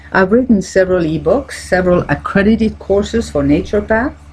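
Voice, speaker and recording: Noticeable background noise runs throughout. Over it, a woman talks at a moderate pace. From French-speaking Switzerland. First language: French. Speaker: naturopathic doctor and coach. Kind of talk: self-help talk.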